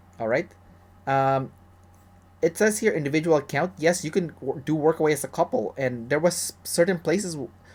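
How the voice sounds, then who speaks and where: A man speaks at a fairly high pitch. The recording is very clean with a silent background. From Canada. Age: 30s. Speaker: travel vlogger. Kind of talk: tutorial. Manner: casual, with many fillers and restarts.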